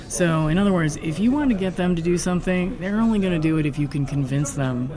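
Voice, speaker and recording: Over noticeable background noise and audible room echo, a woman talks at a fairly quick pace with ordinary pitch variation. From US West Coast, San Francisco Bay Area. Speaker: game studio founder. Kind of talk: casual interview. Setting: conference venue.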